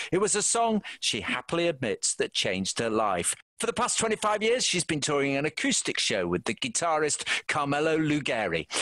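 A man's fairly high, bright, sharp voice moves through very wide pitch swings at a moderate pace with very even loudness, in a dry, close sound with no echo. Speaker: podcast host. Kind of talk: arts and entertainment podcast presenting.

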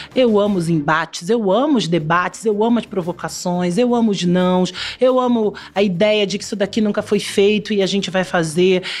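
Here is a woman with a medium-pitched voice. She talks at a fairly quick pace. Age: 40s. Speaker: television creative director. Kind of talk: interview.

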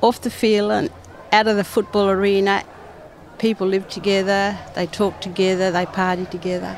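A woman keeps a moderate pace, a medium pitch and fairly even intonation while noticeable background noise lingers. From Darwin, Northern Territory, Australia. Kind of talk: storytelling interview. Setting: outdoors at a football stadium.

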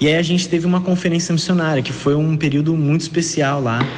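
Audible room echo and noticeable background noise surround a voice moving at a moderate pace with fairly even intonation. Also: man. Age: 20s. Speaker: missionary. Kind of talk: testimony.

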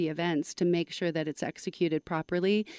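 Heard in a dry, close sound with no echo, a woman uses a plain, everyday voice at medium pitch, her intonation fairly even. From Canada. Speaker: music co-director of a charity event. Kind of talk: casual interview.

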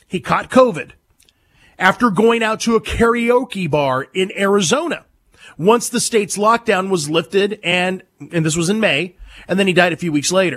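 An American-accented man, high in pitch, at a moderate pace with ordinary pitch variation. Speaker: talk radio host. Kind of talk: opinionated talk radio monologue with callers. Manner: animated, combative.

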